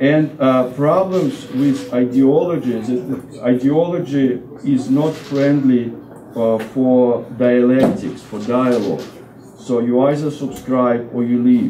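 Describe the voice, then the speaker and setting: A man with a Russian accent speaks at a very slow pace in a medium pitch with ordinary pitch variation. Noticeable background noise and audible room echo fill the recording. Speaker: Orthodox deacon and seminary professor. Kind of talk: lecture. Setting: parish hall talk with audience eating. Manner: halting, with many fillers and restarts.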